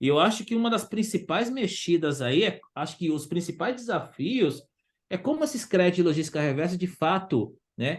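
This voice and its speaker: Against a quiet background, a man speaks in a high voice with lively intonation. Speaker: waste pickers' organization leader. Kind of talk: online forum discussion. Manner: halting, many repetitions; fast.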